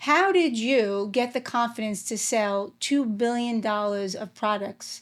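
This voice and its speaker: On a very clean recording with a silent background, a woman speaks at a fairly slow pace in a fairly high voice with ordinary pitch variation. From New York. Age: 50s. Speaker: podcast host. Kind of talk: casual chat.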